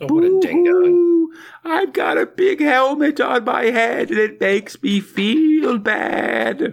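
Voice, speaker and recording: A put-on character voice, high in pitch, delivers the words at a very slow pace. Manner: whiny, self-pitying.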